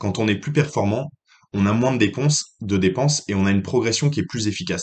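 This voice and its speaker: Speaking very fast, a man has a fairly low pitch. His intonation is lively. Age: 20s. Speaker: podcast host giving financial advice. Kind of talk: solo advice monologue. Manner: hesitant, many fillers and repetitions.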